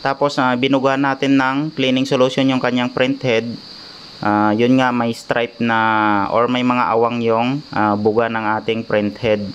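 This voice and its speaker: Over noticeable background noise, a man speaks at a fairly slow pace and medium pitch with fairly even intonation and very even loudness. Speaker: repair technician vlogger. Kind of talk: tutorial. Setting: at home workshop. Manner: hesitant, many filler ahs; raised voice over rain noise.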